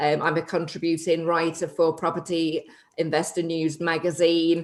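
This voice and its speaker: This woman talks at a moderate pace with a fairly low pitch. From northern England, between Liverpool and Manchester. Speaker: property investor and TV personality. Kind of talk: podcast interview.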